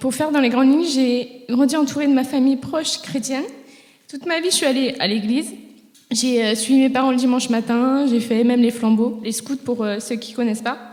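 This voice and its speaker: A high-pitched woman's voice at a fairly quick pace, fairly even in intonation, with noticeable background noise. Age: 20s. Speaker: church member giving testimony. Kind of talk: testimony. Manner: hesitant, frequent filler sounds.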